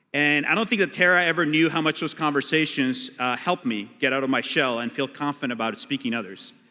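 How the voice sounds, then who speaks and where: A bright, sharp tone with a Spanish accent, lively intonation, a very fast pace with hardly any pauses, and a very clean recording over a silent background. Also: man, fairly high pitch for a man. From Colombia (Bogota). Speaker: immigration lawyer and activist. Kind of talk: keynote speech.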